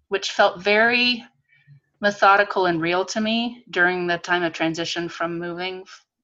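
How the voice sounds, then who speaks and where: A woman talks in an unremarkable speaking voice. Her pitch is fairly low. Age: 50s. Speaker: textile artist. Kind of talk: artist talk presentation. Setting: video call.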